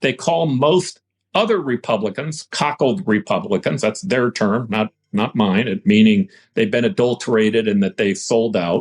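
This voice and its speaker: A man at a medium pitch and moderate pace, his pitch swinging very widely and his loudness very even, in a dry, close sound with no echo. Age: 60s. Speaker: former mayor, politician. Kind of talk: podcast interview. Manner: halting, repeats words.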